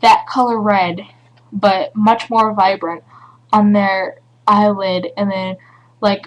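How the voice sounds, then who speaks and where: A woman in an American accent at medium pitch, very slow and monotone with flat intonation, with long, frequent pauses. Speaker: beauty vlogger. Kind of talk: tutorial. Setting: home webcam recording.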